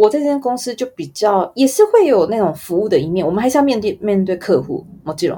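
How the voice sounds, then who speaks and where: Her pitch swinging very widely around a medium level, a woman speaks at a moderate pace. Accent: Taiwanese. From Taiwan. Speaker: advertising photographer. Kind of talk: interview.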